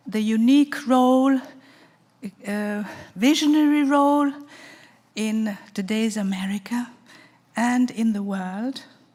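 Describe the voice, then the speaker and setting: Very slowly and with long, frequent pauses, a woman speaks in a fairly high, somewhat breathy voice with a dark, mellow tone and ordinary pitch variation. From Italy, Florence. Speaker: festival speaker. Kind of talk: talk.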